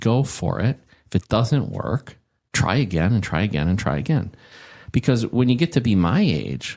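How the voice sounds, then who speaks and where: A man speaks at a moderate pace in a medium pitch with vocal fry, his pitch swinging very widely while his loudness stays very even. The recording is very clean, with a silent background. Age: 60s. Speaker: tech industry veteran. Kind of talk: casual interview chat. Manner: animated, many repetitions and fillers.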